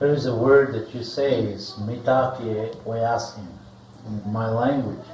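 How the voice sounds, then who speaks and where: A man speaks at a very slow pace with fairly even intonation. The room echo is audible, and background noise is noticeable. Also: medium pitch for a man. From US Great Plains, Lakota Sioux. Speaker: spiritual teacher. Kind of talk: seminar talk with interpreter. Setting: seminar room.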